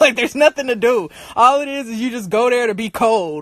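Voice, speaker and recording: The voice has an animated tone and an American accent. The sound is dry and close, with no echo. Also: woman. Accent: sounds country when angry. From US Midwest, Michigan (Detroit area). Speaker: livestream host. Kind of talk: casual chat. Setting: livestream.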